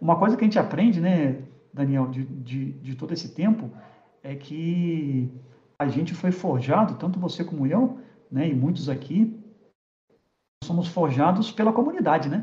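A man talks with a high pitch and lively intonation. His pace is moderate, with long, frequent pauses. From Rio de Janeiro, Brazil. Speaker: tech industry executive. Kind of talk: casual interview chat.

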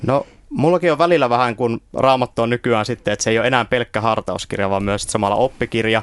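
Speaking very fast at a medium pitch with ordinary pitch variation, a man comes through dry and close with no echo. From Finland, Oulu. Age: 20s. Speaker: theology student. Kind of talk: radio interview. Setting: radio studio. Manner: halting, many fillers.

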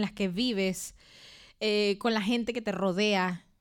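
Speaking at a fairly slow pace, a woman uses an ordinary speaking voice, fairly high in pitch, with fairly even intonation, captured on a very clean recording with a silent background. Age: 30s. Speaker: podcast co-host. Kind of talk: casual chat.

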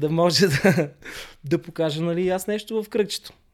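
A man with a plain, everyday voice speaks at a moderate pace with ordinary pitch variation on a very clean recording with a silent background. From Bulgaria, Sofia. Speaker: breakdancer. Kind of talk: casual interview.

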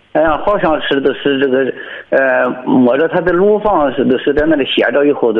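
Fairly high male voice at a moderate pace, lively in intonation, over noticeable background noise. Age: 60s. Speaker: farmer calling in. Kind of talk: phone-in conversation. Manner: halting.

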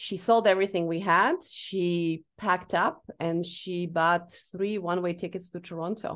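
In a Slovak accent, the speaker goes at a fairly slow pace with hardly any pauses and a flat, monotone delivery. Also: woman, fairly low pitch for a woman. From Slovakia. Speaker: leadership coach. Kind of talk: interview.

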